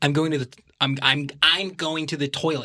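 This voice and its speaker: A put-on character voice in an American accent comes through nasal and low-to-middle in pitch at a moderate pace. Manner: rising inflection, hesitant repetition.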